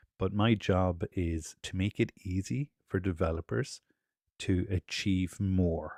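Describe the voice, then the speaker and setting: The Irish accent comes through in a very clean, dry, close recording with no echo and a silent background. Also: man. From Ireland. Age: 40s. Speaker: developer advocate. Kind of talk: technical presentation.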